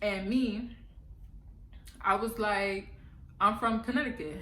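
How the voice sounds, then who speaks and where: A woman with an American accent speaks at a fairly high pitch in an animated tone. Her pitch varies in an ordinary way, and there is audible room echo. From New York City, the Bronx. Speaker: vlogger. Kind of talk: casual vlog advice.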